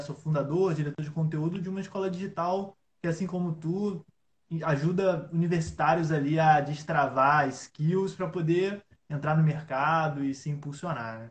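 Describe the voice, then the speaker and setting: This man speaks at a moderate pace in a plain, everyday voice, his pitch fairly high and his intonation fairly even. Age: 20s. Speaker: innovation analyst and entrepreneur. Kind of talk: casual interview on a live stream. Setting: online live stream.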